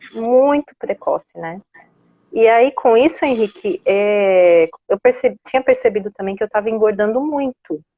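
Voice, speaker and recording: A woman talks in a normal speaking voice at a fairly high pitch. Her pace is fairly slow and her intonation lively. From Brazil, São Paulo city. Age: 40s. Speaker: low-carb lifestyle influencer and personal organizer. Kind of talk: interview on a live stream. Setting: online live stream.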